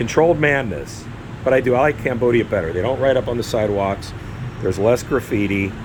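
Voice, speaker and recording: With noticeable background noise behind him, a man talks at a very fast pace in a medium pitch with ordinary pitch variation. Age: 60s. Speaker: vlogger. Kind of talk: casual monologue. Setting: apartment overlooking street. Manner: relaxed, halting.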